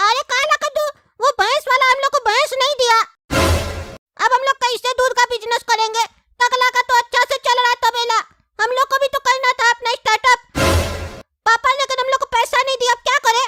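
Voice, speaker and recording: A cartoonish character voice at a fairly quick pace, broken by long, frequent pauses. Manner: excitable, naive.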